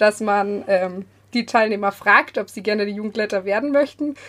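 With a normal speaking voice, a woman talks at a moderate pace in a fairly high pitch, her pitch varying in an ordinary way. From Bavaria (Munich southeast). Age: 20s. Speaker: church youth volunteer. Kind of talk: casual chat. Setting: remote recording from a basement.

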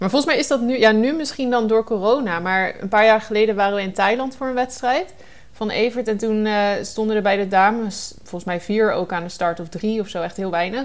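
An ordinary speaking voice from a woman, fairly high in pitch with ordinary pitch variation, at a fairly quick pace with hardly any pauses. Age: 20s. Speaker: triathlon reporter. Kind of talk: scripted narration.

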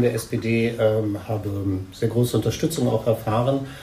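A man speaks at a medium pitch. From Hildesheim, Lower Saxony. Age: 50s. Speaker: politics lecturer and mayoral candidate. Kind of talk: interview. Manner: halting.

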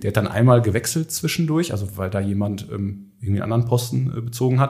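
A man talks in a somewhat breathy voice. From Ruhr area, Germany. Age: 30s. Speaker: construction business founder. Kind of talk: podcast interview.

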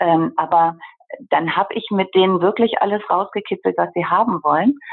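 Her voice is an ordinary speaking voice with a fairly low pitch for a woman. She keeps a moderate pace and ordinary pitch variation. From Germany, Bergisches Land. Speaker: interior architect. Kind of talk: interview.

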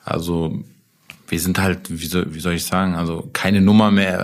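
At a moderate speed, a man talks in a flat monotone with a very deep, low pitch. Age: 30s. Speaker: food franchise owner. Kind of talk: casual interview. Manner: hesitant, many fillers.

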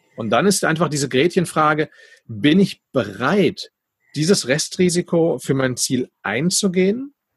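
A man's unremarkable speaking voice, fairly high-pitched with lively intonation, in a dry, close sound with no echo. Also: fairly slow pace. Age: 40s. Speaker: podcast host and entrepreneur. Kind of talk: casual interview.

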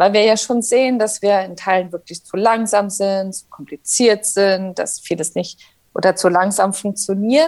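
A woman at medium pitch with a normal speaking voice, ordinary pitch variation, big swings in loudness and a fairly slow pace. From Saarland, Germany. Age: 30s. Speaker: politician. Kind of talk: interview.

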